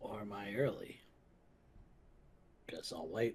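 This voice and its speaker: Using a raspy, put-on character voice, a man speaks slowly-ish at a fairly slow pace with a fairly low pitch. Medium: virtual streamer. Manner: reserved, low-key.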